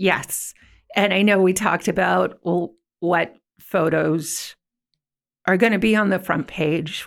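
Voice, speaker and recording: A woman with an American accent has an ordinary speaking voice at medium pitch, with ordinary pitch variation, in a very clean recording with a silent background. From Ventura County, California. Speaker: newspaper editor. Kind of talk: interview.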